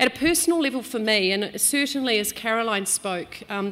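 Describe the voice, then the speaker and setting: A woman speaks with a New Zealand accent. Her intonation is lively. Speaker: business executive. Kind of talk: speech. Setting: stage with audience.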